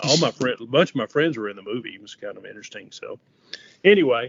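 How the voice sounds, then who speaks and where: Here a man talks with a West Texas accent. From West Texas, Odessa. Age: 70s. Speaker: coatings inspector instructor. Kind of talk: interview. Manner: hesitant, many fillers.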